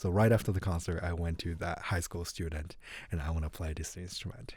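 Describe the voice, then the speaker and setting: A man with a Japanese accent, very deep and low in pitch, somewhat breathy, with a dark, mellow tone on a very clean recording with a silent background. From Japan, Tokyo. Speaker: saxophonist and music professor. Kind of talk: podcast interview.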